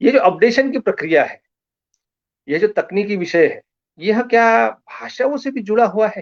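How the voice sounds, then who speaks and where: The background is quiet. A man speaks in a high pitch. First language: Marathi (speaking Hindi). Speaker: science communicator. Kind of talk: lecture. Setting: Facebook live online session.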